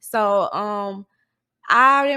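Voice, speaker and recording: The recording is very clean, with a silent background. A woman talks with a Southern US accent. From US South, Mississippi. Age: 20s. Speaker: college student and social media influencer. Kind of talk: casual interview chat.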